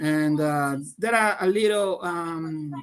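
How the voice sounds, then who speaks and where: Someone speaks at a very slow pace with a Portuguese accent. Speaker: tech community host. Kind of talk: live stream discussion. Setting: live stream from tech conference. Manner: halting, many repetitions.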